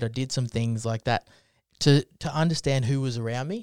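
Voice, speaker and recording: A man speaks in an Australian accent at medium pitch and a moderate pace. His intonation is fairly even, and the recording is very clean with a silent background. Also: dry, close sound with no echo. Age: 20s. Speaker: podcast host. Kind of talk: casual chat.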